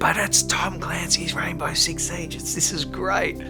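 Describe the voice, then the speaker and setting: A man speaks with an Australian accent in an enthusiastic tone. Music plays in the background. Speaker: voice actor. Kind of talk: interview answer. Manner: casual, enthusiastic.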